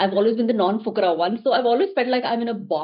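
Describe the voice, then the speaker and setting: Her Indian accent comes with lively intonation and a fairly high pitch. The woman speaks at a very fast pace. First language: Hindi. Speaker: actor and producer. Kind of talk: interview.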